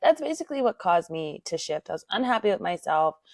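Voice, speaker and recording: A woman with a plain, everyday voice speaks fairly quickly at a medium pitch, the sound dry and close with no echo over a quiet background. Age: 20s. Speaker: podcast host, mother. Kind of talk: personal monologue podcast.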